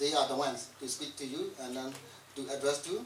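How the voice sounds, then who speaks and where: The voice has ordinary pitch variation, with audible room echo and music in the background. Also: man. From Burma. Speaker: event facilitator, exile media worker. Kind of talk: speech introducing guests. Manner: halting, many fillers.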